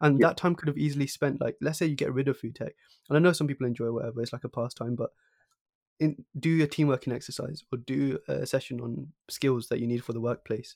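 Talking very fast, a man with a southern English accent keeps a medium pitch and fairly even intonation. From High Wycombe, southern England. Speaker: podcast host. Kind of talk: interview.

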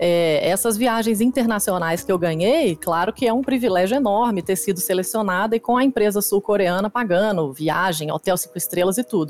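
With noticeable background noise, a woman at medium pitch talks at a moderate pace with lively intonation and very even loudness. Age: 30s. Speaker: competitive dance game player. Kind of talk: casual interview chat.

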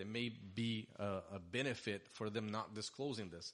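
A man in a Portuguese accent, fairly low in pitch. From Brazil (Sao Paulo). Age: 40s. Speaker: mortgage lender, business owner. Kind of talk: casual interview.

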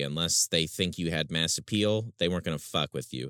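A man's very deep, low voice with ordinary pitch variation, recorded dry and close with no echo. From rural area. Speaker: music fan. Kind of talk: casual chat. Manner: halting.

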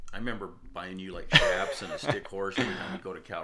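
A man talks at a very fast pace, with audible room echo and music in the background. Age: 50s. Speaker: podcast host's father. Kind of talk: casual chat.

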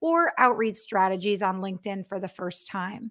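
At a fairly high pitch and a fairly slow pace, a woman speaks in an unremarkable speaking voice. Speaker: web show host and business development manager. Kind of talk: live interview. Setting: live online broadcast.

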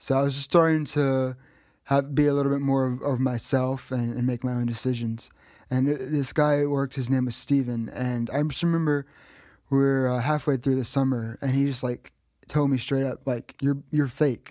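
With an American accent, a man speaks at a moderate pace in a dark, mellow tone, medium in pitch and monotone, on a very clean recording with a silent background. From Texas. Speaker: church member. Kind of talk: interview about personal faith. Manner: halting, many fillers and repeats.

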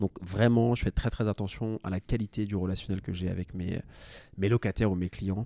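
Recorded very cleanly with a silent background and a dry, close sound with no echo, a man speaks at a moderate pace in a fairly low voice with a dark, mellow tone and monotone, flat intonation. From France, Paris. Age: 30s. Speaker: real estate investor. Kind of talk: interview.

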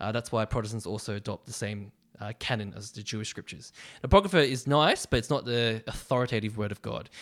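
Speaking at a very fast pace with big swings in loudness, a man with an Australian accent uses a medium pitch and ordinary pitch variation on a very clean recording with a silent background. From Australia, western suburbs of Melbourne. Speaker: university ministry staff worker. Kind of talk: casual interview about faith.

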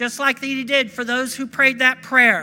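Pitched extremely high, a man's raised, projected voice carries out. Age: 60s. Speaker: pastor. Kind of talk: fervent Pentecostal sermon with call-and-response. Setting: church service with congregation. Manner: animated, punctuated by repeated hallelujahs; halting, with frequent uh fillers.

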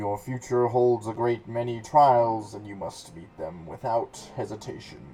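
Putting on a character voice, a man booms out at a medium pitch and a fairly slow pace. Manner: booming, commanding.

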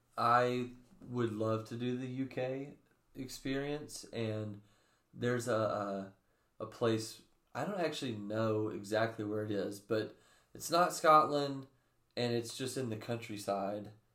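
With an American accent, a man speaks fairly slowly at a medium pitch in a bright, sharp tone, taking long, frequent pauses with ordinary pitch variation, in a room with audible echo. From US South, Bible Belt. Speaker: young adult ministry podcast co-host. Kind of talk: casual chat.

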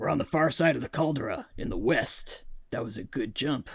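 A man uses a put-on character voice that is gruff, raspy and rumbling, pitched fairly high. He talks at a fairly quick pace. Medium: actual play. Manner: grumbling, terse.

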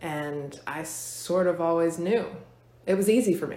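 A woman with an American accent, audible room echo around her voice. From Virginia, Fluvanna County. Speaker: hair and makeup stylist, salon owner. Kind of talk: casual interview.

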